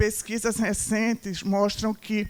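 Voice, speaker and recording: At a fairly slow pace, the speech comes in a dark, mellow tone. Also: woman. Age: 60s. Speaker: marketing speaker. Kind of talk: lecture.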